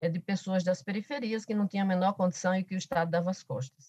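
A woman's somewhat breathy, medium-pitched voice with fairly even intonation, dry and close with no echo. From Paraíba, Brazilian Northeast (Alto Sertão). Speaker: professor and politician. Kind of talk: podcast interview.

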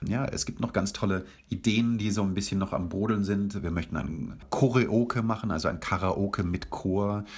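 With an enthusiastic tone and a somewhat breathy quality, a man speaks at a moderate pace in a very deep, low pitch with ordinary pitch variation, on a very clean recording with a silent background. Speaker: festival director and beatboxer. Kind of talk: radio interview. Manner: enthusiastic, with frequent fillers.

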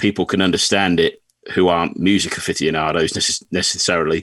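The recording sounds dry and close, without any echo. In it, a man talks with an English accent. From England. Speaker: country singer-songwriter. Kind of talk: casual chat.

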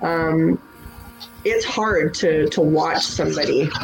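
A woman talks in a fairly low pitch over noticeable background noise. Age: 40s. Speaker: business owner. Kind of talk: interview.

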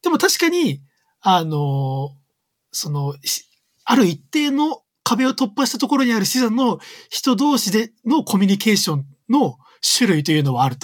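Pitched high, a man swings his voice very widely at a moderate pace, leaving long, frequent pauses. The recording is very clean with a silent background. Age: 30s. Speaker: creative coder. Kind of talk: casual chat. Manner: loud; frequent laughter.

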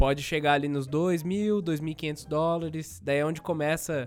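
This man has a normal speaking voice pitched fairly high. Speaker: tech podcast host. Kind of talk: casual chat.

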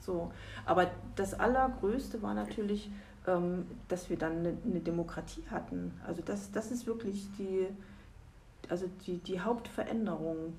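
A woman with a fairly low pitch and lively intonation, at a fairly slow pace with long, frequent pauses, amid audible room echo. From East Germany. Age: 50s. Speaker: lawyer. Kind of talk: interview. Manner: hesitant, many fillers.

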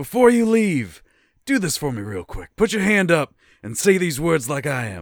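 A man uses a raspy, put-on character voice with a fairly high pitch. He talks at a moderate pace, his pitch swinging very widely.

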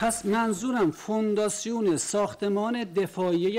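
With noticeable background noise, a man speaks at a moderate pace with a high pitch. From Iran. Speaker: defendant. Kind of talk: court testimony. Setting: courtroom.

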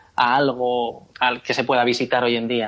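Against noticeable background noise, a man speaks at a medium pitch and a fairly slow pace. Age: 30s. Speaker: cartoonist and advertising creative. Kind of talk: interview. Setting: phone call.

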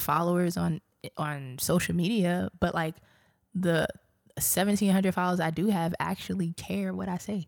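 In a very clean recording with a silent background, a woman talks at a moderate pace in a medium pitch with ordinary pitch variation. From Brooklyn, New York. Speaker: private equity professional, former civil engineer. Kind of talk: casual interview.

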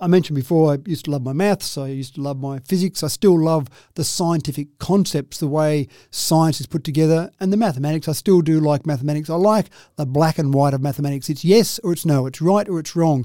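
Speaking at a very fast pace, a man uses a fairly high pitch with ordinary pitch variation. The recording is very clean, the background silent. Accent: Australian. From Australia, Dubbo, New South Wales. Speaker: local businessman and columnist. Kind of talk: oral history interview.

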